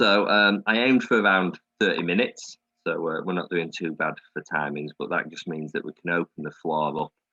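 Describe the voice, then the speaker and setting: Fairly quick speech comes in a northern English accent with ordinary pitch variation. The loudness swings widely. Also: man, very deep, low pitch for a man. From Yorkshire, northern England. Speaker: air cadet officer. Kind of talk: presentation to an online audience.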